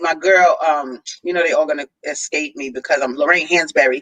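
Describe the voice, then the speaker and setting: In a New York accent, a woman speaks with lively intonation and a bright, sharp tone, in a dry, close sound with no echo. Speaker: author and book fair organizer. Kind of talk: interview. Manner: casual.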